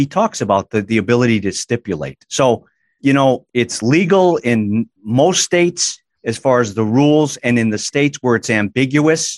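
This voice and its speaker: A man with a plain, everyday voice speaks at a medium pitch with lively intonation. The sound is dry and close with no echo, and the background is quiet. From Massachusetts, US. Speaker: attorney, company chief legal officer. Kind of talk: podcast interview.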